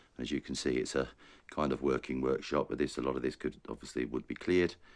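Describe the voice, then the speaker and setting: The pace is fairly quick. Vocal fry runs through the voice. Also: man. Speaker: estate agent. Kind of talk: property tour narration.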